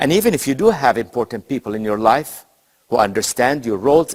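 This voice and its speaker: A man's vocal fry at a fairly quick pace, dry and close with no echo. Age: 70s. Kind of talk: recorded teaching lesson.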